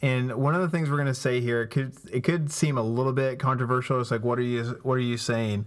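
A man speaks very fast in a medium pitch, with hardly any pauses, very even loudness and fairly even intonation. Noticeable background noise runs underneath. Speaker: pastor and podcast co-host. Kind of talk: casual faith-based discussion. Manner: hesitant, many filler words.

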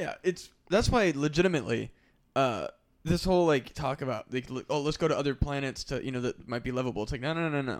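On a very clean recording with a silent background, a man with an American accent talks very fast at a fairly high pitch, with ordinary pitch variation. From Iowa (Burlington). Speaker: podcast host. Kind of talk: casual chat. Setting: studio.

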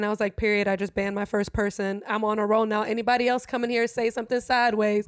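A woman with a medium-pitched voice talks at a very fast pace on a very clean recording with a silent background. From Germany. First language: German. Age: 20s. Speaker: DJ and streamer. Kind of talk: casual chat. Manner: animated.

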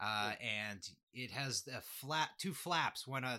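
A man with a Canadian accent speaks in a bright, sharp tone, his pitch rising and falling in an ordinary way. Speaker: podcast host. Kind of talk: casual chat.

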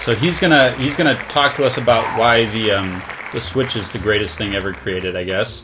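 Crowd noise sits in the background. A man talks at a medium pitch with lively intonation. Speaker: podcast host. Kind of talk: casual chat.

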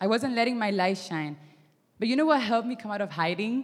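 A woman with a non-native accent and a medium pitch talks fairly quickly with lively intonation. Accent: foreign-accented English. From Miami. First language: not English. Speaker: youth ministry intern. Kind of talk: sermon. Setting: stage with audience. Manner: hesitant, many fillers.

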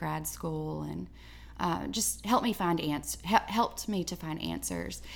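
A woman with an Alabama accent speaks at a moderate pace. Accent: Southern US (Alabama). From US South, southeast Alabama. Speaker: artist and educator. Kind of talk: interview conversation. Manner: halting.

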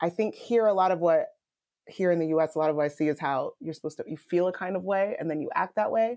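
A woman with a dark, mellow tone and a medium pitch speaks at a very fast pace with ordinary pitch variation, on a very clean recording with a silent background. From Nigeria. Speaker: artist and researcher. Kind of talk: casual interview conversation.

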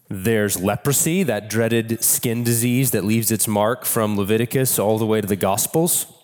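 Music plays in the background as a man speaks at a moderate pace and a medium pitch. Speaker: pastor. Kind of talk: sermon.

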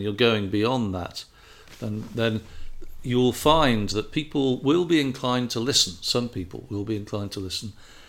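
A man at a medium pitch with an English accent, at a moderate pace. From England. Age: 50s. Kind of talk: casual conversation. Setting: indoors.

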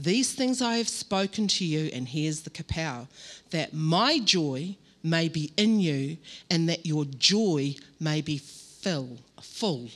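A woman with an Australian accent speaks in a very deep, low voice. Her delivery is very slow, with lively intonation. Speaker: pastor. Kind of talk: sermon. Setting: church stage with microphone.

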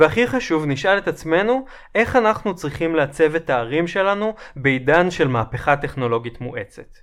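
Speech comes at a moderate pace. Its pitch rises and falls across a very wide range. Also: man, fairly high pitch for a man. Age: 30s. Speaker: urbanist lecturer. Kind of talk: lecture. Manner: formal.

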